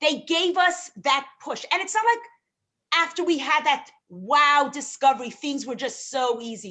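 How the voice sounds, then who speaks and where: Raised and projected, a woman's high voice with a New York accent has a bright, sharp tone, very wide pitch swings and big swings in loudness at a fairly slow pace. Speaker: rebbetzin and relationship guest expert. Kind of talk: live show interview.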